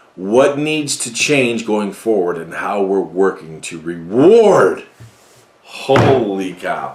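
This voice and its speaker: Amid audible room echo and noticeable background noise, a man with a fairly low pitch speaks at a very slow pace, his intonation lively and his loudness swinging widely. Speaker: NEMT industry commentator. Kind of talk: commentary on a broker letter. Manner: animated, sarcastic.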